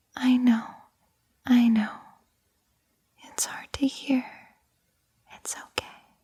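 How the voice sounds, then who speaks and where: A woman whispers at a very slow pace. Long pauses come often. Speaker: ASMR creator. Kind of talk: ASMR girlfriend roleplay. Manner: whispered.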